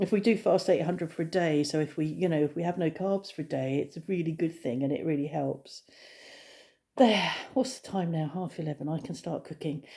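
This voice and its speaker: Speaking with an English accent, the voice has a dark, mellow tone, ordinary pitch variation and a fairly quick pace. The recording is very clean, with a silent background. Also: woman, fairly low pitch for a woman. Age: 60s. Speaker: vlogger. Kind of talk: casual vlog monologue. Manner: hesitant, many fillers.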